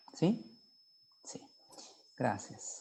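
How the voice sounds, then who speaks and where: With a Brazilian accent, a man speaks at a very slow pace. His tone is dark and mellow. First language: Portuguese (speaking Spanish). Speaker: hematologist. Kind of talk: lecture.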